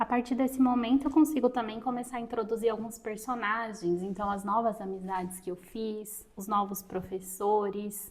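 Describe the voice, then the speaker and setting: A woman with an unremarkable speaking voice talks at a fairly high pitch with hardly any pauses. Her intonation stays fairly even. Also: moderate pace. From Brazil, interior of Minas Gerais. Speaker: writing and reading content creator. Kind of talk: tutorial.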